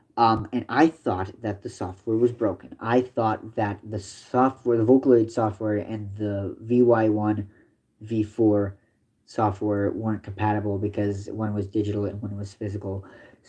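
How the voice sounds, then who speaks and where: A man's fairly low-pitched voice with a dark, mellow tone, a moderate pace and monotone, flat intonation. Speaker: livestreamer. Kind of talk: casual livestream chat.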